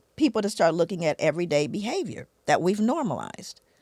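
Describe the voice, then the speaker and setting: With an American accent, a woman speaks in an animated tone at a fairly quick pace and fairly low pitch, her voice making very wide pitch swings in a very clean recording with a silent background. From US West Coast, South Central Los Angeles. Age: 60s. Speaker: psychologist and author. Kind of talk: podcast interview.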